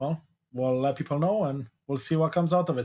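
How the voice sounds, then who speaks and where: The voice is somewhat breathy, with lively intonation at a very fast pace. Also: man. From Eastern Europe. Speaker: podcast host. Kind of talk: interview.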